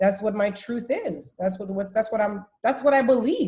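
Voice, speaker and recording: Speaking at a moderate pace, a woman uses lively intonation at a fairly high pitch. Her tone is dark and mellow, and somewhat breathy. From Haiti. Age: 30s. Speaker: podcast guest. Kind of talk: casual interview chat.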